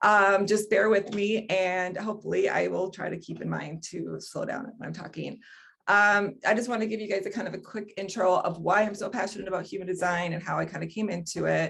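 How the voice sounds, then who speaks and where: A woman at medium pitch talks at a fairly quick pace with vocal fry. Her intonation is fairly even, and she takes hardly any pauses. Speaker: human design teacher. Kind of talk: online workshop presentation. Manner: fast; hesitant, many fillers.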